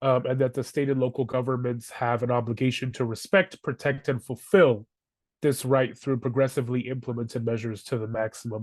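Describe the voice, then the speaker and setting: This is a plain, everyday voice with fairly even intonation. It moves at a fairly quick pace over a quiet background. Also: man. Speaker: housing advocacy educator. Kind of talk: webinar presentation.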